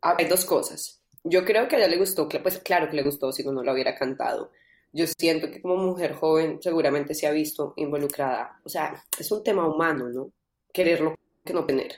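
A woman has an unremarkable speaking voice with fairly low pitch. She moves at a moderate pace with ordinary pitch variation. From Colombia. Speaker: singer-songwriter. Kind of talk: interview.

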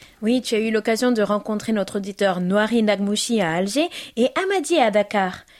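A woman speaks at a moderate pace with a warm tone, fairly high pitch, and ordinary pitch variation. Her loudness stays very even, and noticeable background noise is present. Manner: warm, affectionate.

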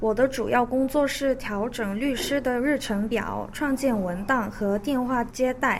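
A woman's high voice at a fairly slow pace, with hardly any pauses. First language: Korean (speaking Chinese). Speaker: recent graduate, law office employee. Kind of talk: radio interview.

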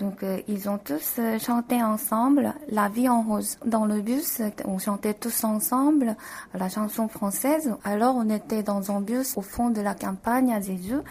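Over noticeable background noise, a woman with a Korean accent speaks at a very slow pace in a fairly high pitch. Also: ordinary pitch variation. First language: Korean (speaking French). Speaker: architect and author. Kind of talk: radio interview.

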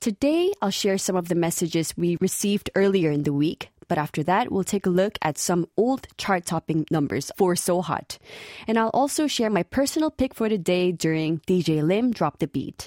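A woman with a Korean accent speaks at medium pitch and a moderate pace in a dark, mellow tone, with lively intonation, very even loudness and hardly any pauses. The recording is very clean with a silent background and a dry, close sound with no echo. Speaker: radio DJ. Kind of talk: radio show presenting.

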